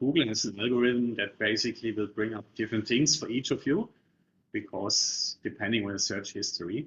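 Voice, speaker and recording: Speaking at a fairly quick pace, a man with a German accent sounds somewhat breathy. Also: medium pitch for a man, ordinary pitch variation. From Germany. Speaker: property investment coach. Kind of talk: webinar presentation. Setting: online webinar.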